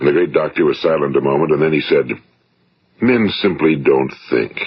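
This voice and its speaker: The speaker is a man with an American accent. He talks at a fairly quick pace. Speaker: motivational speaker. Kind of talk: motivational speech recording.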